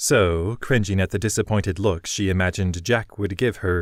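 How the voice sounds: The delivery is a natural reading voice. Intonation stays fairly even.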